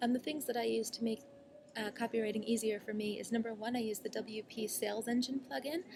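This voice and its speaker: Noticeable noise sits behind a woman's fairly high voice. She talks fairly quickly with ordinary pitch variation. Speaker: online marketing coach. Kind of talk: casual vlog tutorial. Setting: cafe, talking to laptop. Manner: fast; filler-heavy, many ums.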